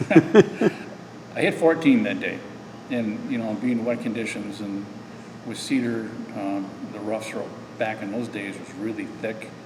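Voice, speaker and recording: A man with an American accent talks fairly slowly at a medium pitch, with ordinary pitch variation and big swings in loudness. Room echo is audible, and background noise is noticeable. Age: 60s. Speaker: amateur golfer. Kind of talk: interview. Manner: halting.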